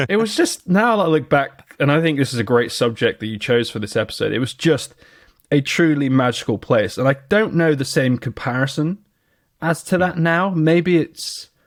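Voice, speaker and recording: Speaking at a moderate pace, a man uses a fairly high voice with lively intonation, in a West Country accent. The recording is very clean, with a silent background. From southwest England. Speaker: podcast co-host. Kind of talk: casual chat. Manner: animated.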